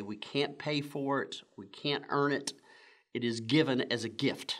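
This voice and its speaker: A man talks with ordinary pitch variation at a moderate pace, the background quiet. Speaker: church pastor. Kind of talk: sermon. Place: church.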